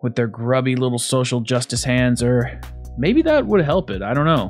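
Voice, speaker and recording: A man talks at a moderate pace while faint music sits in the background. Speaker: gaming channel host. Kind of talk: game review commentary. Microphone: studio mic.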